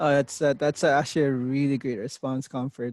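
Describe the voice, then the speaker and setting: A man's monotone, flat delivery comes through a dry, close sound with no echo in a very clean recording with a silent background. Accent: non-native. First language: not English. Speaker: interview coach. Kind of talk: mock interview coaching. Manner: deliberate pace.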